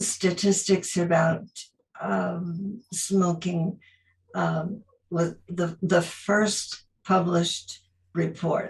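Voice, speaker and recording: Monotone, flat intonation from a woman at a fairly low pitch, very slow pace and vocal fry. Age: 80s+. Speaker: retired teacher. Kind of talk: interview. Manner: halting.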